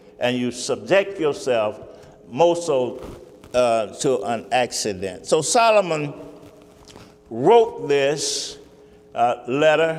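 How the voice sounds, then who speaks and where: A fairly high-pitched man at a very slow pace, with long, frequent pauses, very wide pitch swings, audible room echo and noticeable background noise. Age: 70s. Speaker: pastor. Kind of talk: sermon. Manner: halting.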